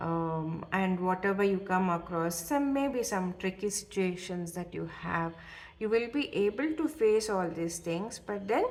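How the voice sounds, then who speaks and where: Lively intonation at a fairly slow pace. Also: woman, medium pitch for a woman. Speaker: tarot reader. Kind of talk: tarot reading. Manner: hesitant with many fillers.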